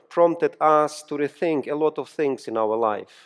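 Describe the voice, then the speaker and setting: With a Ukrainian accent, a man talks with ordinary pitch variation. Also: quiet background. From Ukraine. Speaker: pastor and seminary professor. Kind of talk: sermon. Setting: church. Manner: halting.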